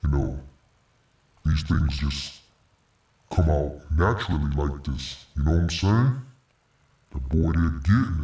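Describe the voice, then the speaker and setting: Delivered at a fairly slow pace, the put-on character voice comes with long, frequent pauses. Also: man, very deep, low pitch for a man. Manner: demonic.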